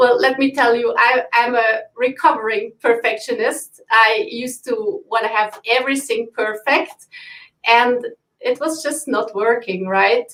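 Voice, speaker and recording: A woman with a non-native accent speaks at a high pitch. Her pace is fairly slow. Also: ordinary pitch variation. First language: not English. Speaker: business owner. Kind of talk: live stream interview. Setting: live video stream.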